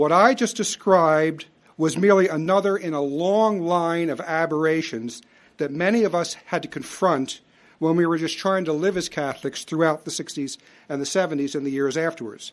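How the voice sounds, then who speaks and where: On a very clean recording with a silent background, a man with an American accent uses an ordinary speaking voice, fairly high pitch, ordinary pitch variation and a moderate pace. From US Northeast, Philadelphia. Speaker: lecturer. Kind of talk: lecture. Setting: stage with audience.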